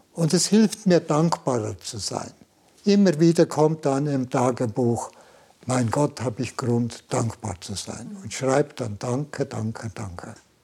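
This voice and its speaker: Speaking at a fairly slow pace, a man with a dark, mellow tone and medium pitch sounds somewhat breathy, his pitch swinging very widely and his loudness rising and falling in big swings. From Switzerland, Valais. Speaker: Jesuit priest and Zen master. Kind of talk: interview. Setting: meditation room.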